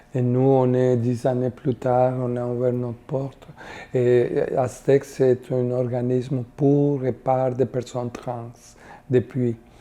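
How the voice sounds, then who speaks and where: In a Spanish accent, the speaker talks at a very slow pace with monotone, flat intonation. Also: woman. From Costa Rica. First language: Spanish (speaking French). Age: 60s. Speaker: community worker. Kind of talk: interview testimony. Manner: halting, many hesitations.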